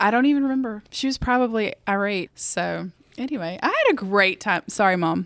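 A woman speaks with a Southern US accent at a medium pitch and ordinary pitch variation. The sound is dry and close with no echo. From US South. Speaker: co-host.

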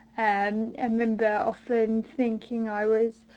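The voice has a dark, mellow tone and a British accent. Delivery is very slow, with fairly even intonation. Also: woman. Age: 20s. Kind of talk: recorded monologue answers.

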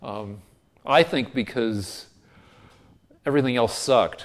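A man with an American accent talks in a plain, everyday voice. His pace is fairly slow, and his pitch variation is ordinary. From Colorado. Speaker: TV comedy writer. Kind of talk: interview.

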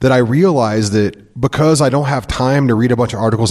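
Talking at a very fast pace, a man with an American accent uses ordinary pitch variation. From Missouri. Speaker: podcast co-host and radio host. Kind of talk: casual chat. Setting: studio.

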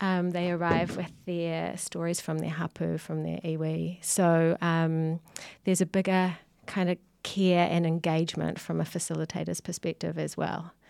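On a very clean recording with a silent background, a woman with a New Zealand accent speaks at a moderate pace in a fairly low pitch with monotone, flat intonation. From New Zealand, Whanganui. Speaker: visual artist and gallery co-director. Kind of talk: casual chat. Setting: studio.

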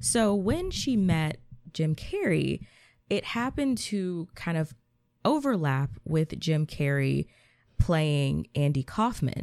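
A woman with an American accent speaks at a very slow pace in a very clean recording with a silent background. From US South, Georgia. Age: 20s. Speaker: podcaster and social media creator. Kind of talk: casual chat.

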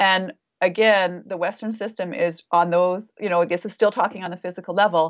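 A woman's plain, everyday voice, medium in pitch, with fairly even intonation and a fairly quick pace. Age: 50s. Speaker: naturopathic doctor. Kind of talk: casual interview. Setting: video call.

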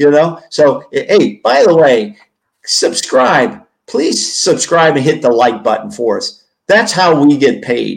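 A man speaks at a very slow pace with vocal fry. His fairly high pitch moves in very wide swings. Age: 70s. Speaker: sports podcast co-host. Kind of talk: casual sports talk, post-game reaction. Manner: talkative, opinionated, conversational.

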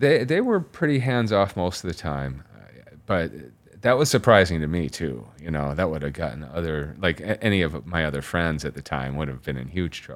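Someone with an American accent speaks at a moderate pace with lively intonation and vocal fry. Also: man, very deep, low pitch for a man. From Chicago suburbs. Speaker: tattoo artist and painter. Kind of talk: interview.

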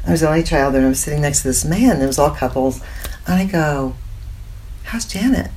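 A woman with an American accent talks very fast in a very deep, low pitch. Her pauses are long and frequent. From US Midwest, Indiana. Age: 70s. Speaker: spiritual teacher and psychic intuitive. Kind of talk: interview.

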